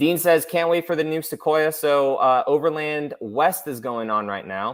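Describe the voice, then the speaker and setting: A normal speaking voice with an American accent at a moderate pace, on a very clean recording with a silent background. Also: man, fairly high pitch for a man, ordinary pitch variation. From San Diego, California. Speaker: car YouTuber. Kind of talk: live stream Q&A. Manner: casual, filler-heavy.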